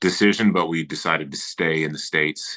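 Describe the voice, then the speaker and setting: Here a man speaks at a fairly quick pace in a very deep, low pitch, with a bright, sharp tone and ordinary pitch variation. The sound is dry and close, without echo. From Southern California, Lancaster in LA County. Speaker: voice actor and audiobook narrator. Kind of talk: interview. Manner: casual, many fillers and restarts.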